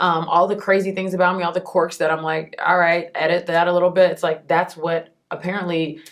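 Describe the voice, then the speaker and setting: Hardly pausing at all, a woman speaks at a fairly low pitch. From Texas, Houston. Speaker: entertainment interviewer and TV host. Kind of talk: interview. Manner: loud; animated.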